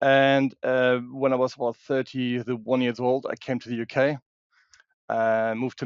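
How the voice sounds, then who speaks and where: A man with a German accent talks at a moderate pace in a medium pitch. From Germany. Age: 50s. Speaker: security expert and women's safety advocate. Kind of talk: interview. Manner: halting, many restarts.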